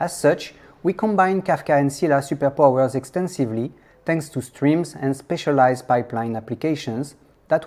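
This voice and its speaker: A French accent in a very clean recording over a silent background. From France. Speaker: software engineer and conference speaker. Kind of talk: conference talk. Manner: hesitant, many fillers.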